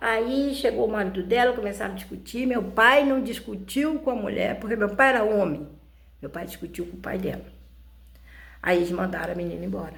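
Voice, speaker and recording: Lively intonation with vocal fry and audible room echo. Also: woman, medium pitch for a woman, big swings in loudness. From rural Brazil. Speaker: YouTuber. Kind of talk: personal storytelling. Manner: halting, repetitive.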